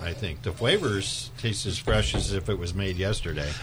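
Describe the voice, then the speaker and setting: A man's fairly low voice comes through over noticeable background noise. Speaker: wine shop buyer. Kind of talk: radio chat. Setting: studio.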